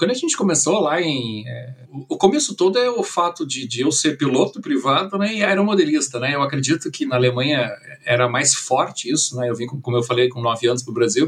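A man speaks at a fairly quick pace with a fairly high pitch. Background noise is noticeable. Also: lively intonation. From Brazil, moved from Germany at age nine. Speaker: drone company director. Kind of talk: interview.

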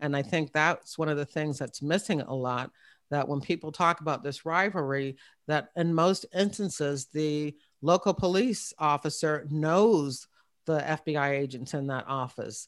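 A woman's very deep, low voice in an American accent, with ordinary pitch variation, a moderate pace and a very clean recording over a silent background. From Virginia (Hampton area). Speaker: retired FBI agent and podcast host. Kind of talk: interview.

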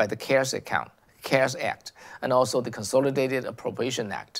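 Vocal fry runs through this man's medium-pitched voice, spoken with a Chinese accent. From China. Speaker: political commentary host. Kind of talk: monologue commentary. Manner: halting, many fillers and repetitions.

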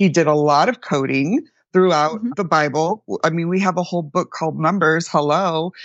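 A woman with an American accent, an ordinary speaking voice, fairly low in pitch, with ordinary pitch variation at a moderate pace. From El Paso, Texas, then Central Florida. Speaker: numerologist. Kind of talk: interview.

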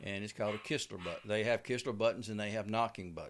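Speaking in a Southern US accent, a man keeps to a medium pitch. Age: 60s. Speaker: bowhunter and outdoor TV host. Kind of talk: casual interview. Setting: studio.

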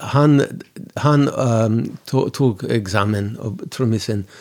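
In a very clean recording with a silent background, a man with an English accent talks at a medium pitch with ordinary pitch variation. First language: English (speaking Swedish). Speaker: musician. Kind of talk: interview. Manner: halting.

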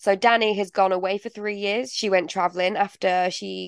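A woman speaks with a Mancunian accent at a moderate pace and a medium pitch. The sound is dry and close, with no echo. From northern England, Manchester. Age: 20s. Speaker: playwright. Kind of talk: interview. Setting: studio.

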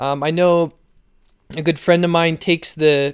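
In a dry, close recording with no echo, a man speaks at a high pitch with fairly even intonation. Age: 20s. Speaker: athletic trainer. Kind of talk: solo podcast talk.

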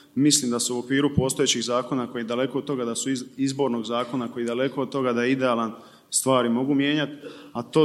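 A man at a medium pitch, very fast, in a flat monotone. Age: 30s. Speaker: PR consultant. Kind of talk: panel discussion.

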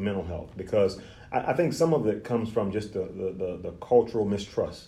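A man speaks at a fairly quick pace with a fairly low pitch. His tone is dark and mellow, somewhat breathy, with ordinary pitch variation. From Louisiana, Lake Charles. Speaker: therapist. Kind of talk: interview.

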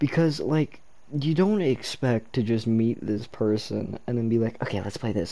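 At a moderate pace, a man speaks in a dark, mellow tone at a medium pitch with lively intonation. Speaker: podcast co-host. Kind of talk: casual chat.

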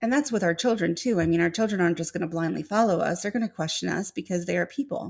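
A woman's medium-pitched voice with an American accent and lively intonation, at a very fast pace with hardly any pauses. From Illinois. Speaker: podcast host. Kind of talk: live-stream monologue with chat. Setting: live stream.

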